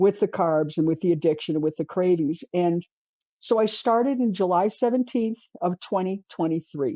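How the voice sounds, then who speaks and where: This woman has an unremarkable speaking voice at medium pitch. Her intonation is lively and her pace moderate. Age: 60s. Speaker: artist. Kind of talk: interview.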